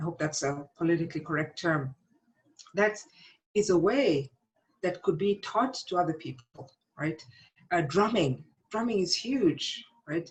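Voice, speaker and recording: With lively intonation, a somewhat breathy woman speaks fairly slowly at a fairly low pitch, leaving long, frequent pauses. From South Africa. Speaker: psychology professor. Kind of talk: interview conversation.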